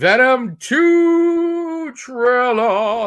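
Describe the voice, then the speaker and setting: This put-on character voice sits at a fairly high pitch and makes very wide pitch swings. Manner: silly put-on voice.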